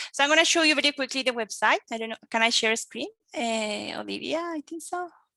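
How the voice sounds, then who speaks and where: A woman with a Colombian accent speaks in a raised, projected voice at a high pitch, with lively intonation and a bright, sharp tone. The sound is dry and close with no echo, against a quiet background. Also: fairly quick pace. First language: Spanish. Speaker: English teacher and researcher. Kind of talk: conference presentation. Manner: hesitant, many fillers.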